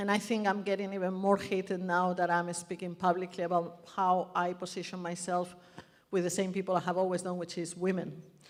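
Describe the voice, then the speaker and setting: Amid noticeable background noise, a woman with a medium pitch talks at a fairly quick pace in a monotone, flat intonation. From Spain. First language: Spanish. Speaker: birth activist and speaker. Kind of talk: public speech. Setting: stage with audience.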